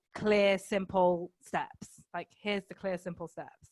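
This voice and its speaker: A woman in a northern English accent, medium in pitch, monotone and flat, at a fairly slow pace, on a very clean recording with a silent background and dry, close sound with no echo. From northern England, Manchester. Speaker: life coach, podcaster. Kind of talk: casual chat.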